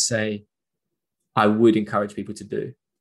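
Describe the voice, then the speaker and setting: The delivery runs at a fairly quick pace. It comes in a normal speaking voice. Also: man. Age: 20s. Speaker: football presenter and video creator. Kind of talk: interview conversation.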